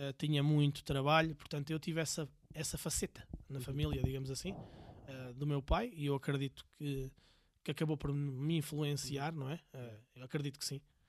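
The voice is a plain, everyday voice belonging to a man, pitched fairly high. He keeps a moderate pace and a fairly even intonation. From Portugal, Viseu. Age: 40s. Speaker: entrepreneur. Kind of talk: casual interview.

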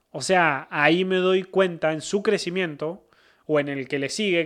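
A man speaks in a Cordoban Argentine accent with ordinary pitch variation. The recording is very clean, with a silent background. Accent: Argentine Spanish (Córdoba), voseo. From Argentina, Córdoba province. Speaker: football commentator. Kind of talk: casual chat.

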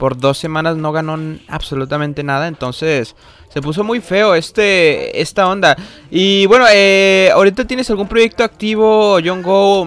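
A man with a high pitch speaks fairly slowly with lively intonation, noticeable noise in the background. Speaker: youtuber interviewer. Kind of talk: casual interview.

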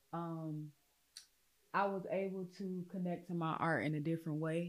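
With an American accent, a woman speaks fairly slowly at a fairly low pitch in a monotone, flat way. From US South (Louisiana, Mississippi). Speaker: performing artist. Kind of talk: personal interview testimony.

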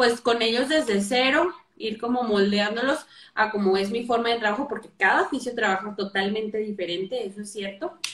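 At a moderate pace, a woman with a plain, everyday voice speaks at fairly high pitch with ordinary pitch variation. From northern Mexico, Torreón. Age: 20s. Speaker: physiotherapist. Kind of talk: casual interview. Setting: live video call.

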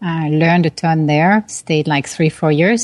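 With a French accent, a woman speaks in a fairly low pitch and fairly even intonation. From France, Paris. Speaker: tech product executive and author. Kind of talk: interview. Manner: hesitant fillers (uh, um).

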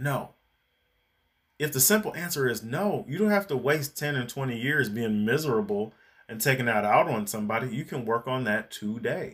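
In a normal speaking voice, a man talks at medium pitch with lively intonation, recorded very cleanly against a silent background. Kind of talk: angry rant. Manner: heated, indignant, sarcastic and accusatory.

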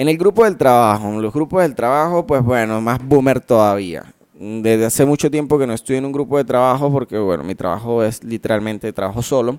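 A man talks fairly quickly at a medium pitch, with ordinary pitch variation. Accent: Venezuelan. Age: 20s. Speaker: podcaster. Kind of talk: casual monologue. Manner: animated.

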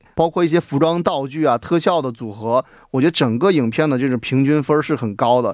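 A man's fairly high voice at a fairly quick pace, ordinary pitch variation, dry and close with no echo, quiet background. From China. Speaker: film director. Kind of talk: casual chat. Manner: hesitant, many fillers.

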